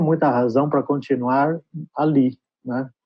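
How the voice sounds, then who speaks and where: A man talks with a Brazilian accent. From Brazil (São Paulo), born in Trás-os-Montes, Portugal. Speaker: advertising creative director. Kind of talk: interview.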